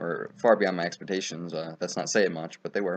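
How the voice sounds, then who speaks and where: His pitch is very deep and low for a man. He speaks at a fairly quick pace. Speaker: gaming youtuber. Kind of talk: gameplay commentary. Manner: fast; casual, many filler ums.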